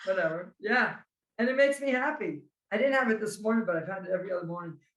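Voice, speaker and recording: In a New Jersey accent, a woman talks at a very fast pace with lively intonation. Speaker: carnivore diet content creator. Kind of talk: casual chat.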